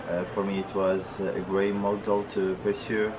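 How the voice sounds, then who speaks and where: A man talks in a monotone, flat intonation, with audible room echo and noticeable background noise. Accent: Arabic. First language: Arabic. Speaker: international student. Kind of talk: interview. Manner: halting.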